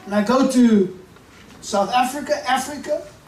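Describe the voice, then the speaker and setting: Noticeable background noise runs under the recording. A man speaks at an extremely high pitch with ordinary pitch variation. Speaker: preacher, bishop. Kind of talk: sermon, preaching to a congregation.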